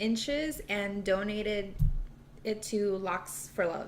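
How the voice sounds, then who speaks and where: A soft-spoken woman talks at a very slow pace. Noticeable background noise can be heard. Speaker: small business owner. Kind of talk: interview answer.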